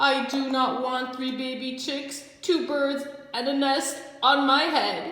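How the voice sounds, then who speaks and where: A female-sounding, put-on character voice speaks at a high pitch and a fairly slow pace, with strong echo. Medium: read story. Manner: anxious, fretful.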